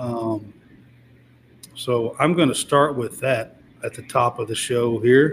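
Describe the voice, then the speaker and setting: Speaking very slowly with long, frequent pauses, a man with a medium pitch and a Kentucky accent sounds somewhat breathy, with fairly even intonation and big swings in loudness. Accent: Kentucky Southern US. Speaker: sports podcast host. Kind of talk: casual chat.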